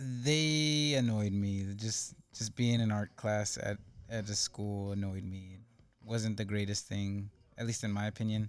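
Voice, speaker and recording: Here a man speaks with an American accent at a fairly slow pace. His intonation stays fairly even. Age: 20s. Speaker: former student, community college returnee. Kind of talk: casual interview.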